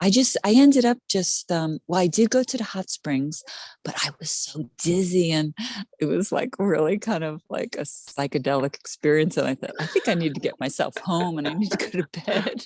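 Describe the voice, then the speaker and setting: A woman with a plain, everyday voice, fairly low in pitch, with lively intonation at a moderate pace, in a dry, close sound with no echo. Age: 60s. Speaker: card reading client. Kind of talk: casual chat. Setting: video call.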